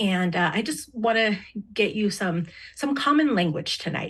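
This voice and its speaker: A somewhat breathy voice over a quiet background. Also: woman. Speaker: diversity trainer and interpreter. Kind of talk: training presentation.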